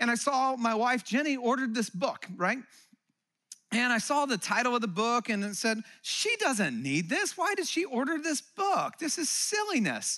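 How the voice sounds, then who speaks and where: A man speaks at an extremely high pitch with very wide pitch swings, using a raised, projected voice at a moderate pace and very even loudness. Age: 40s. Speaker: pastor. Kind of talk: sermon. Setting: church.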